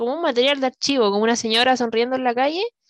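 The voice carries a Chilean accent. The sound is dry and close, with no echo. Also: woman. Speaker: podcast host. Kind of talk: casual chat. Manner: animated.

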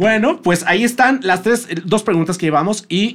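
A man with a Mexican accent at a moderate pace, his intonation lively. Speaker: podcast host. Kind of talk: casual interview chat.

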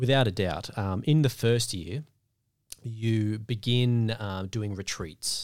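Very slowly, a man talks at a medium pitch with ordinary pitch variation. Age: 20s. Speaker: deacon. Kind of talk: casual interview.

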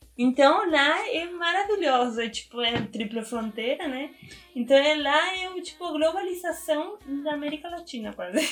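Speaking with a Spanish accent, a woman talks high-pitched at a moderate pace, her intonation lively and her loudness swinging widely, over noticeable background noise. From Argentina, small town in Misiones. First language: Spanish (speaking Portuguese). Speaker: biologist and activist. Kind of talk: interview. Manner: hesitant, many fillers.

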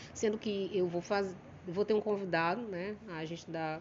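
With a plain, everyday voice, a woman talks at a fairly quick pace, fairly low in pitch, with fairly even intonation. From Maranhão, Brazil (São Luís). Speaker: comedian. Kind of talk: casual chat.

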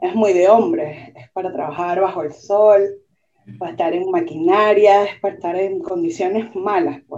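Her loudness swings widely in an ordinary speaking voice, a woman at medium pitch with ordinary pitch variation. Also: moderate pace. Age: 30s. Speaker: merchant marine graduate and nightclub worker. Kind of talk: casual interview chat.

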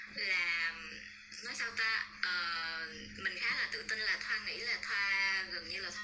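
Music plays in the background of a room with audible echo. A woman speaks very slowly at a medium pitch with fairly even intonation. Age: 20s. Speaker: talk show guest, former online magazine staffer. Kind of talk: panel talk show discussion.

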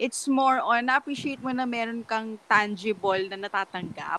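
Dry and close with no echo, the recording carries a woman's fairly high, bright, sharp voice at a fairly quick pace with ordinary pitch variation. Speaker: podcast co-host. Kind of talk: casual chat.

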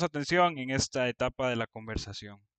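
A man with an ordinary speaking voice and fairly high pitch talks at a fairly quick pace with ordinary pitch variation, in a dry, close sound with no echo and a quiet background. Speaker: church youth leader. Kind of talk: scripted narration. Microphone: original audio had problems.

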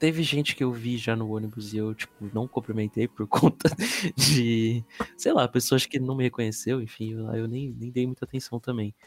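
This is a plain, everyday voice: a man at medium pitch, speaking at a moderate pace with fairly even intonation. The sound is dry and close, with no echo. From Brazil. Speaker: podcast guest, office worker. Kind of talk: casual chat. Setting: remote recording.

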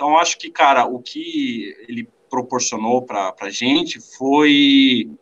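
This man's speech has lively intonation. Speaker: drummer. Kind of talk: casual chat. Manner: halting. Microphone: poor mic, noisy sound.

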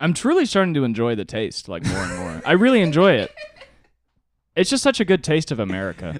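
A man speaks at a fairly quick pace with vocal fry and a fairly high pitch. His pitch swings very widely. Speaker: podcast co-host; comedian.

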